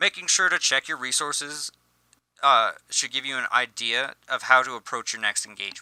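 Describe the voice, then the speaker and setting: A bright, sharp tone at a moderate pace, in a dry, close sound with no echo. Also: man. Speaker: gaming youtuber. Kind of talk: scripted tutorial. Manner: halting, self-correcting.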